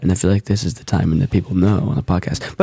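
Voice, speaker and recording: A raspy put-on character voice with lively intonation, delivered at a very fast pace. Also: man, fairly low pitch for a man. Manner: slightly put-on, not entirely their normal voice.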